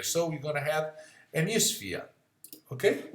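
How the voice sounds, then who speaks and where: A man with a high pitch speaks in a non-native accent, with audible room echo. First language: not English. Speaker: physics tutor. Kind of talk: software tutorial. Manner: halting. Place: home room. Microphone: webcam.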